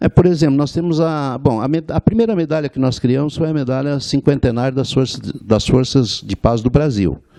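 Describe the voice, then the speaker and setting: Against a quiet background, a man speaks at a moderate pace in a dark, mellow tone, the sound dry and close with no echo. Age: 70s. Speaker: war veteran. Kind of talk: interview. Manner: halting.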